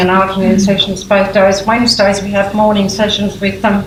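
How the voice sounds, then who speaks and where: A woman speaks at a medium pitch, with audible room echo. Noticeable background noise runs underneath. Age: 80s+. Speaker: prison creative writing program leader. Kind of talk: conference talk. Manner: halting.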